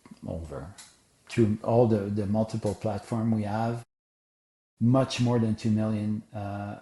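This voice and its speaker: Against a quiet background, a man speaks with a fairly low pitch, somewhat breathy, in a dark, mellow tone. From Quebec, Canada. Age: 60s. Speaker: sport psychology coach and educator. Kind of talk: podcast interview. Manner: animated.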